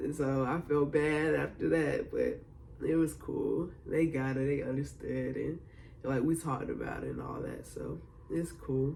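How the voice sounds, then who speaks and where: Audible room echo and noticeable background noise surround a man. He speaks fairly slowly in a relaxed tone. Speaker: vlogger. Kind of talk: casual video diary. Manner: laid-back, relaxed; filler-heavy, casual.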